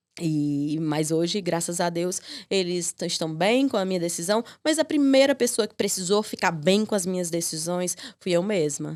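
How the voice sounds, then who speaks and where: The intonation is lively. The pace is moderate. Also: woman, fairly low pitch for a woman. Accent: northeastern Brazilian. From Piauí, Brazilian Northeast. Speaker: lawyer and legal mentor. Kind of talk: podcast interview. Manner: hesitant, many fillers.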